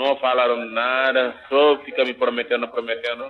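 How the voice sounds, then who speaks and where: Flat and monotone, a man speaks at medium pitch and a fairly slow pace. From Senegal, Dakar. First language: not Portuguese (speaking Portuguese). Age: 30s. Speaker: immigrant activist and filmmaker. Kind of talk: interview. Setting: phone call. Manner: halting. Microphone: poor phone audio.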